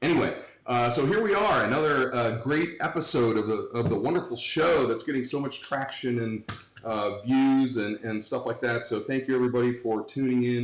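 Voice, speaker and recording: Speaking at a fairly quick pace, a man talks with an American accent. Audible room echo and noticeable background noise fill the recording. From Cleveland, Ohio. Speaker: livestream talk show host. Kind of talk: casual interview. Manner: loud; halting.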